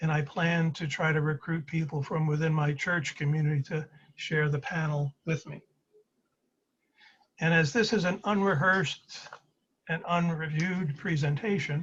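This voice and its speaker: A man's fairly high voice with an American accent, at a moderate pace, fairly even in intonation, with long, frequent pauses. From Brooklyn, New York (Flatbush). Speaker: presenter sharing personal story. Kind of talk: presentation over video call. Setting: video call.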